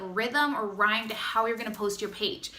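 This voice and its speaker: A woman's raised, projected voice with audible room echo. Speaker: direct sales distributor. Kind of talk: tutorial. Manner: fast; casual, chatty.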